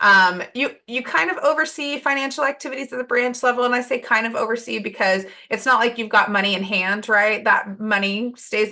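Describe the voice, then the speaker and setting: At a fairly quick pace, a woman is talking. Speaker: volunteer branch leader presenting. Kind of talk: webinar presentation. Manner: fast.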